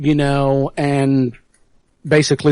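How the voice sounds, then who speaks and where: A man's fairly high voice with a dark, mellow tone and an American accent, in a dry, close recording with no echo. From South Yorkshire, England (near Rotherham). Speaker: anarchist activist, guest. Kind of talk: radio interview.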